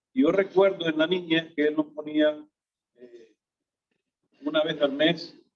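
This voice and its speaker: A man's fairly high voice at a fairly slow pace, with fairly even intonation, big swings in loudness and long, frequent pauses. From Honduras, Tegucigalpa. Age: 60s. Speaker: businessman, fellowship member. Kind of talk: testimony.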